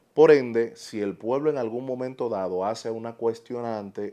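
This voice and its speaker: Against a quiet background, a man with a Dominican accent talks at a medium pitch in a dark, mellow tone with ordinary pitch variation. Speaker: political commentator YouTuber. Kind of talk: opinion monologue. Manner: animated.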